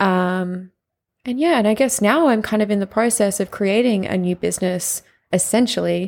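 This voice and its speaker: Over a silent background in a very clean recording, a woman with a medium pitch speaks at a moderate pace. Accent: Australian. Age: 20s. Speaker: podcast host and business owner. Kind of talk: casual monologue. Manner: animated.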